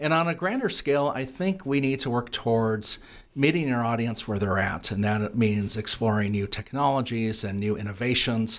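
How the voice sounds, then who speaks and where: An unremarkable speaking voice from a man at medium pitch, moderate pace and ordinary pitch variation, in a very clean recording with a silent background. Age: 50s. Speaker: radio reporter and journalism professor. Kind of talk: interview.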